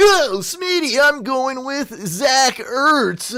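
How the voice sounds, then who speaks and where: A put-on character voice, high-pitched and upbeat, at a very slow pace. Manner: wacky, upbeat, over the top.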